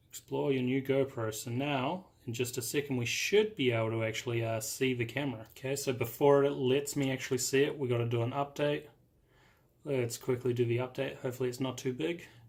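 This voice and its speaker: Somewhat breathy speech comes at a fairly quick pace with fairly even intonation. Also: man, medium pitch for a man. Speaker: tech youtuber. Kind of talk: tutorial. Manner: casual.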